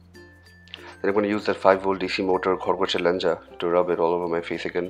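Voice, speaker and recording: Over music in the background, a man speaks in a flat monotone at a very deep, low pitch. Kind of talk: comedic voice-over commentary. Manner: joking, playful.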